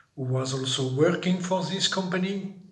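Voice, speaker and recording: A somewhat breathy man with a French accent, ordinary pitch variation and audible room echo. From France. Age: 60s. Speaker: migrant. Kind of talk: interview. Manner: halting.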